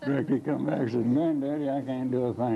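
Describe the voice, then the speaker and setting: Noticeable background noise sits behind this speaker. He is a man with a medium pitch and an Appalachian accent. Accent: Appalachian Southern. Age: 80s+. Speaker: electric cooperative board president. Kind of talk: telling a joke.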